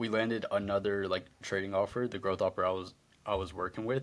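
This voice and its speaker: A man speaks at a fairly quick pace in a fairly low voice, on a very clean recording with a silent background. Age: young. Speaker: sales closer, student. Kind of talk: casual interview testimonial. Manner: halting with fillers.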